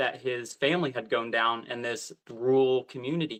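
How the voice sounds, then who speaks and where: With an American accent and a normal speaking voice, a man speaks at a moderate pace and medium pitch against a quiet background. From southern Missouri. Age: 30s. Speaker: teacher and speaker. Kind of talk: interview storytelling.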